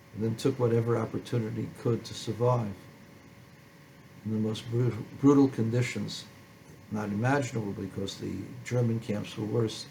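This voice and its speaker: A man of medium pitch speaks at a moderate pace with long, frequent pauses. His somewhat breathy voice has a dark, mellow tone and monotone, flat intonation. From born in a refugee camp in postwar Germany. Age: 70s. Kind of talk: personal testimony.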